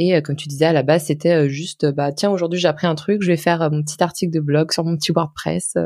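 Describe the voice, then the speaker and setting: Using a plain, everyday voice, a woman talks at a fairly quick pace in a fairly low pitch, the sound dry and close with no echo. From France, Lyon. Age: 20s. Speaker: personal finance blogger. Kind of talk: casual interview.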